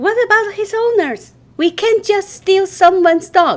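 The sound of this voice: This squeaky, cartoonish character voice moves at a moderate pace with ordinary pitch variation. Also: woman.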